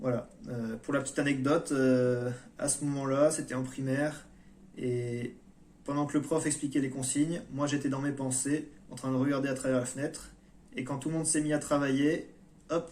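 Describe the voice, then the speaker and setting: A man speaks in monotone, flat intonation. Long, frequent pauses break up his speech. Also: fairly high pitch for a man. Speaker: YouTuber on personal development. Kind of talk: monologue vlog. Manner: slow; hesitant.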